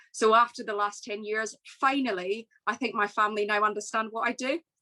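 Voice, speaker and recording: A woman with a west of Scotland accent speaks at a moderate pace and fairly high pitch, her tone bright and sharp, with a dry, close sound with no echo. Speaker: business executive. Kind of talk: keynote speech.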